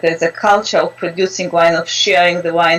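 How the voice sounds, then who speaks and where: Amid noticeable background noise, a woman with a Georgian accent speaks at a moderate pace in a fairly low pitch. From Georgia (country). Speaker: interview guest. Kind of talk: casual chat. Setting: video call.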